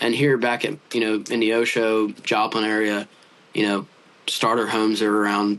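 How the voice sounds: A man speaks at a fairly low pitch. His intonation is monotone and flat.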